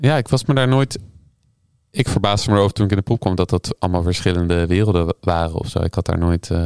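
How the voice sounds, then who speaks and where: Very fast in pace, a man's very deep, low voice keeps a very even loudness with ordinary pitch variation. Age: 30s. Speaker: harpist and composer. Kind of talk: casual interview.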